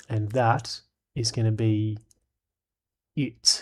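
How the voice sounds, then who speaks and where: A man's somewhat breathy voice in a relaxed tone. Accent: Australian. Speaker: streamer. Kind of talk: live stream chat. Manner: casual, relaxed.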